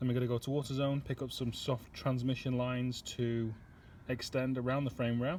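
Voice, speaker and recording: With a northern English accent, a man speaks at a medium pitch, his voice somewhat breathy and his intonation fairly even. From northern England. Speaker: car restoration youtuber. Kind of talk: casual workshop vlog narration. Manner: casual, hesitant with fillers.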